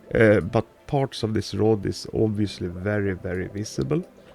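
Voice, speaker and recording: With music behind him, a man's voice sits at a fairly low pitch. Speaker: gaming video creator. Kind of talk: casual gameplay commentary.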